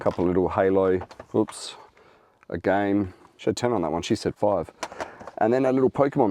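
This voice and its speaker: Fairly low in pitch with ordinary pitch variation, a man with an Australian accent talks at a fairly quick pace with long, frequent pauses over noticeable background noise. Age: 40s. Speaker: reseller. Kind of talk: casual talk to camera. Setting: in a car.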